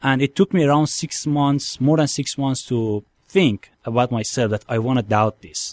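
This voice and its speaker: A man with a Persian accent speaks at a moderate pace and a medium pitch, with ordinary pitch variation and hardly any pauses. The recording is very clean with a silent background, and the sound is dry and close with no echo. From Iran. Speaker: convert from Islam to Christianity. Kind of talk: testimony. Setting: studio.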